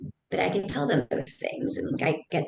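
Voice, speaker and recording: The speaker has an American accent and a fairly quick pace. Noticeable background noise sits behind the voice. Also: woman. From US Midwest. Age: middle-aged. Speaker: business owner and CEO. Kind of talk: podcast interview. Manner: fast.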